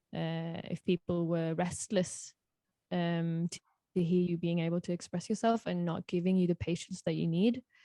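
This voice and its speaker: A woman with a British accent speaks at a fairly low pitch in a dark, mellow tone. Her intonation is fairly even, her pace moderate, and the sound is dry and close with no echo. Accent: British-sounding English. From Norway. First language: Norwegian. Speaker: singer-songwriter. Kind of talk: podcast interview. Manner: halting.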